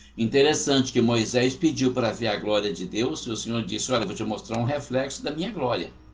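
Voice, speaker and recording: The speech moves at a fairly quick pace with ordinary pitch variation. Noticeable background noise and audible room echo are present. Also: man, medium pitch for a man, hardly any pauses. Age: 60s. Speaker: Bible teacher. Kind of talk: Bible study lecture.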